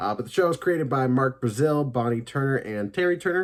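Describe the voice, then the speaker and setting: A man with an unremarkable speaking voice talks at a fairly quick pace with lively intonation, on a very clean recording with a silent background. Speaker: YouTube TV and film reviewer. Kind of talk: casual one-take review monologue. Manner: filler-heavy, conversational.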